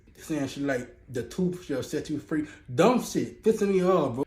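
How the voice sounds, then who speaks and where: A man speaks at a fairly quick pace with a fairly high pitch and a somewhat breathy voice. His tone is animated and his intonation lively. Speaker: interviewee. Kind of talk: street interview. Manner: halting.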